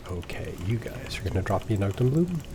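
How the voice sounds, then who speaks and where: A man speaks in a soft-spoken way. There is noticeable background noise. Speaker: gaming let's play streamer. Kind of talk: casual gameplay commentary. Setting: home recording at night. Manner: soft-spoken, talking quietly.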